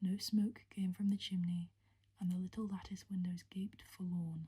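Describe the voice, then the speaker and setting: This voice is soft-spoken and whispering. It moves at a moderate pace. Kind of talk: soft-spoken ASMR audiobook reading of a gothic novel for sleep. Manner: soft-spoken, whispering.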